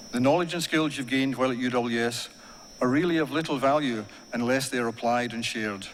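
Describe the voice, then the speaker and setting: With an Ayrshire accent, a man speaks very fast with ordinary pitch variation, and audible room echo is present. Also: medium pitch for a man. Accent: Ayrshire Scottish. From Scotland, Ayrshire (Kilmarnock). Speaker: university staff member giving graduation address. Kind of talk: graduation speech. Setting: ceremony hall with audience. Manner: formal.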